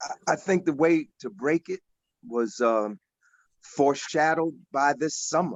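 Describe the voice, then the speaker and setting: Using an ordinary speaking voice, a man with an American accent talks at a fairly slow pace, his fairly high pitch carried by lively intonation. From Newark, New Jersey. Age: 60s. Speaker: activist panelist. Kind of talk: panel discussion.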